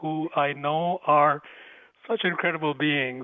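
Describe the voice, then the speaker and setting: A man with a slight Indian accent and fairly even intonation, over noticeable background noise. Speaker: spiritual teacher and author. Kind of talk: interview.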